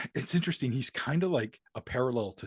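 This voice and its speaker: With an American accent, a man talks at a moderate pace in a medium pitch, his voice showing vocal fry in a dry, close sound with no echo. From Maine, US. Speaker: rapper, producer and author. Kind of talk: casual interview chat.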